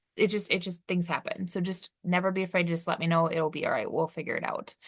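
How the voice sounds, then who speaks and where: A woman talks at a very fast pace with a fairly low pitch. Her intonation stays fairly even. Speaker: college instructor. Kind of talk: recorded course tutorial. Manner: casual, with fillers.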